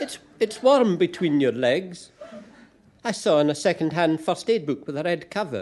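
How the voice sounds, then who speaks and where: With a Scottish accent, a man speaks at a moderate pace. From Glasgow, Scotland. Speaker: poet. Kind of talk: live spoken-word story reading.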